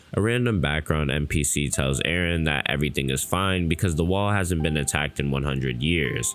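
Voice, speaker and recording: Music plays behind a man with a very deep, low pitch and ordinary pitch variation. He talks at a fairly quick pace with very even loudness and hardly any pauses. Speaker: anime YouTuber. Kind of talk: manga recap narration.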